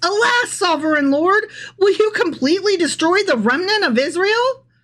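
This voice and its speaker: Putting on a character voice at an extremely high pitch, a woman speaks at a moderate pace with lively intonation and very even loudness. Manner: loud, anguished cry.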